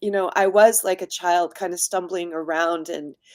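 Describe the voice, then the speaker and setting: A woman with a US Midwestern accent is heard on a very clean recording with a silent background. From US Midwest, Indiana. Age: 60s. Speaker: designer and community activist. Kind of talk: interview.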